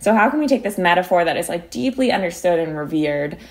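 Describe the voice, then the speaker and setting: Speaking fairly quickly in an American accent, a woman with a fairly low voice makes very wide pitch swings. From Philadelphia, US. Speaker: climate activist and law student. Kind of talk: interview.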